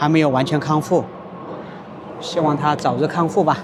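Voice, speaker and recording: A man at fairly high pitch and moderate pace amid noticeable background noise. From rural county town in China. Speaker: Mandarin teacher vlogger. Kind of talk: casual talk to camera.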